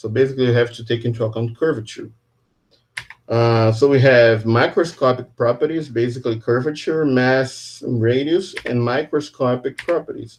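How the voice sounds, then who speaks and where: Using a normal speaking voice, a man talks at a moderate pace and medium pitch with fairly even intonation. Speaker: physics professor. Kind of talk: lecture.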